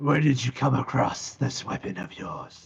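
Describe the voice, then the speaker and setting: A man uses a put-on character voice at a medium pitch. The voice sounds raspy. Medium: actual play. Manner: gruff, terse.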